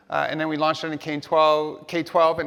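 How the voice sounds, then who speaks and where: A man's fairly high voice in a New York accent, with noticeable background noise. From New York City (Hell's Kitchen), US. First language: Spanish. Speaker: tech company education executive, keynote speaker. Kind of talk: keynote speech. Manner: animated.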